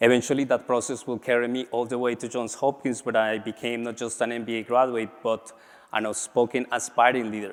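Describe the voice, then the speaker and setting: With a strong Latin American accent, a man talks at a fairly quick pace in a medium pitch, his intonation monotone and flat. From Colombia. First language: Spanish. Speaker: MBA graduate and business leader. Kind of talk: conference speech.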